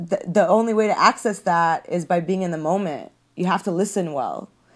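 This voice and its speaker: A woman with a Californian accent speaks at a moderate pace and a medium pitch, with ordinary pitch variation. The recording is very clean, with a silent background. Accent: Californian American English. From Los Angeles, raised from age six. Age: 30s. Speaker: comedian. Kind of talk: casual chat.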